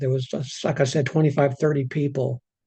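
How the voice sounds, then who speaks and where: Against a quiet background, a man talks in a fairly high, somewhat breathy voice with fairly even intonation. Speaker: pastor. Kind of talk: bible study reading and reflection. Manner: repeats words, some halting.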